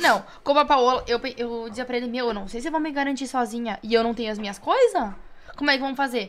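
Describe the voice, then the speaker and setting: A woman at a high pitch and a very fast pace, with ordinary pitch variation. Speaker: DJ. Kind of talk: casual chat.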